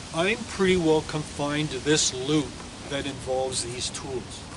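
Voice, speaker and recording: Over noticeable background noise, a man with a fairly high pitch speaks at a fairly slow pace with ordinary pitch variation. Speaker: mason and toolmaker. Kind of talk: on-site demonstration talk. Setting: outdoors on job site. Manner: loud; halting.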